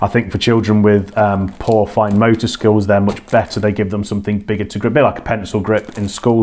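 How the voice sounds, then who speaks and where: Over noticeable background noise, a man with a British accent speaks fairly quickly in a fairly low voice. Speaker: children's author and hobby workshop leader. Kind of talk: casual talk to camera.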